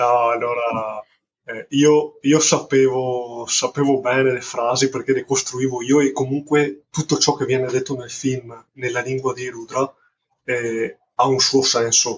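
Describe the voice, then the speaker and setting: Somewhat breathy and at a medium pitch, a man talks at a fairly slow pace in a monotone, flat intonation. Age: 30s. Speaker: carpenter and indie film director. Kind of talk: casual interview. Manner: halting, repeats words.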